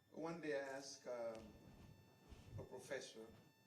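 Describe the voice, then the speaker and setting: A man's medium-pitched speech carries audible room echo. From Haiti. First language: Haitian Creole. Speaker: priest, bishop-elect. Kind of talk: press conference remarks. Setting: press conference podium.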